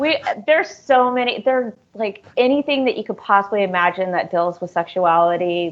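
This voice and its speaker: A woman with an American accent talks fairly quickly in an ordinary speaking voice with lively intonation. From US. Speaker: author. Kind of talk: casual interview chat.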